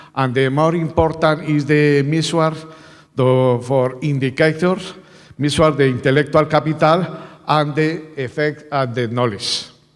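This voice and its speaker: Against a quiet background, a man with a Colombian accent talks at a fairly slow pace with fairly even intonation. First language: Spanish. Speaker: university researcher presenting at a conference. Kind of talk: conference presentation. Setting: conference stage with audience. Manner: halting. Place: hall. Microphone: podium.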